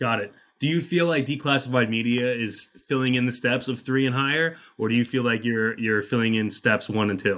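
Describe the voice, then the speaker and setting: A man with a normal speaking voice, medium pitch, ordinary pitch variation and a fairly quick pace, in a very clean recording over a silent background. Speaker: podcast host. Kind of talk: interview conversation.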